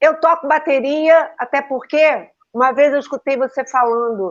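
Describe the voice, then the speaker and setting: A woman speaks at a fairly slow pace with a high pitch against a quiet background. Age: 60s. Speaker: teacher and school owner, numerologist. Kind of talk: casual interview on a live stream. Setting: online live stream.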